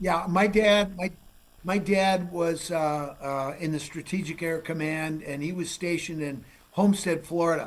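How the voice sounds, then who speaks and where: A loud man with an American accent, high-pitched, at a moderate pace with fairly even intonation. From Minnesota. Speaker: forensic geologist, TV host. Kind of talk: casual interview chat.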